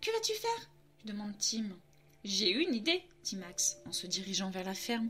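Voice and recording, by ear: A passage is read aloud in a natural voice.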